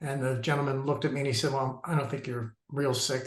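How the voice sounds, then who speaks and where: A man's somewhat breathy, medium-pitched voice at a very fast pace, monotone and flat in intonation. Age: 60s. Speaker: cancer survivor. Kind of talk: personal testimony. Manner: halting, many fillers.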